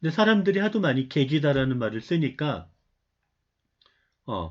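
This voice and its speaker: A man's medium-pitched, somewhat breathy voice with very wide pitch swings, a moderate pace, and a quiet background. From Seoul area, family from North Gyeongsang. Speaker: university lecturer. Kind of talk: online lecture. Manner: conversational, with many filler sounds.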